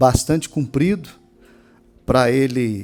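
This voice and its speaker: At a fairly slow pace, a man talks with a medium pitch and a dark, mellow tone. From Brazil, Minas Gerais. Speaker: pastor. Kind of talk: sermon. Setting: church. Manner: emphatic.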